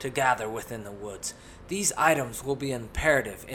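The recording holds an unforced reading voice.

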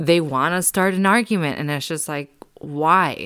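Her fairly low pitch and ordinary pitch variation give this woman an unremarkable speaking voice. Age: 30s. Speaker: podcast host. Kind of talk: casual monologue. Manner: rambling with frequent fillers.

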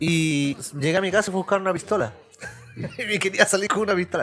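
This speaker has a Chilean accent and talks at a very fast pace. Music plays in the background. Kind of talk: casual chat.

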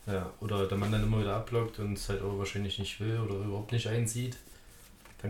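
Over noticeable background noise, a man speaks at a fairly low pitch in a monotone, flat delivery. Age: 20s. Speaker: podcast guest. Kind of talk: casual chat.

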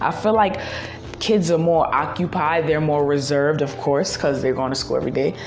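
A woman speaks at a fairly quick pace in a very deep, low voice, with very even loudness, ordinary pitch variation and noticeable background noise. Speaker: solo podcaster. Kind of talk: casual monologue. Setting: outdoors walking, on phone.

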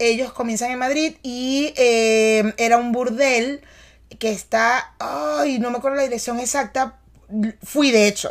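A woman with a Venezuelan accent speaks at a fairly slow pace in a high voice, with ordinary pitch variation. The recording is very clean, with a silent background. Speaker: podcast host and actress. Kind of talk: casual chat. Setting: studio in New York.

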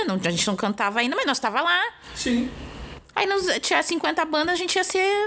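A high-pitched woman's voice in a southern Brazilian accent, bright and sharp in tone, with very wide pitch swings at a moderate pace. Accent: southern Brazilian (gaúcho) Portuguese. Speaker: podcast host and rapper. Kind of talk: casual chat.

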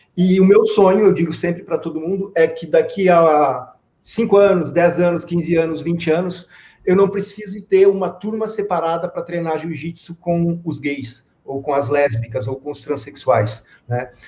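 A man's high-pitched voice with a dark, mellow tone, ordinary pitch variation and a fairly slow pace. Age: 40s. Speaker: social sports project coordinator. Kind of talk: interview.

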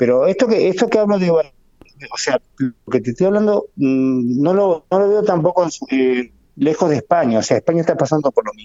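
His pitch is fairly high, and it swings very widely. The man speaks at a fairly slow pace. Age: 50s. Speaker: motorcycle racer. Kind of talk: casual interview. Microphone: choppy internet connection.

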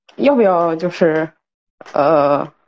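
A woman's voice with very wide pitch swings. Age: 30s. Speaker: caller. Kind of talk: personal advice call. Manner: halting.

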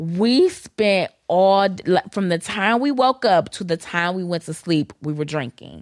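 An unremarkable speaking voice from a woman with an American accent, medium in pitch, with lively intonation, a fairly slow pace and hardly any pauses, in a dry, close sound with no echo on a very clean recording with a silent background. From Detroit, Michigan. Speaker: podcast co-host. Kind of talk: casual chat.

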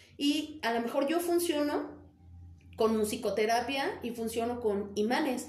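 A woman with a high pitch and ordinary pitch variation speaks at a fairly slow pace. Room echo is audible. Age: 40s. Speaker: angel therapist and alternative healer. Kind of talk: casual chat.

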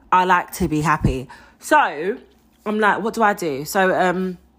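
In a very clean recording with a silent background, a voice with a London accent sounds animated, with a bright, sharp tone and ordinary pitch variation. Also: woman. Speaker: podcast host. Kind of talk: solo monologue. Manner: loud.

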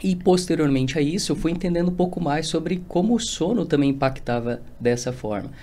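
Audible room echo, a fairly quick pace, and a dark, mellow tone. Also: man. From Rio Grande do Sul, Brazil. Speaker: nutritionist. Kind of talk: casual interview.

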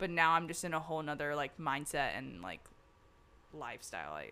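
Very deep, low-pitched woman's voice with an American accent, fairly quick, with lively intonation and big swings in loudness. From US South. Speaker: podcast guest. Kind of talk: casual chat.

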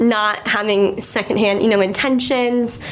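With an American accent, a woman speaks at a fairly slow pace and fairly high pitch, her intonation fairly even, amid noticeable background noise. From Chicago suburbs, US Midwest. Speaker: co-host, journalism student.

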